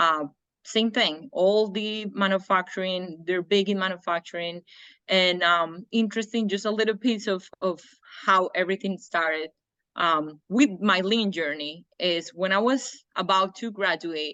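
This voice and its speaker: A woman in a Spanish accent speaks at a fairly slow pace and medium pitch, with a bright, sharp tone, ordinary pitch variation and a quiet background. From Colombia. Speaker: engineer and trainer. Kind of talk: interview.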